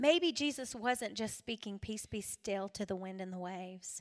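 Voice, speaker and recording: Recorded very cleanly against a silent background, a woman with a South Carolina accent talks at a fairly high pitch and moderate pace with ordinary pitch variation. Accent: US Southern (South Carolina). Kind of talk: women's retreat talk. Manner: animated.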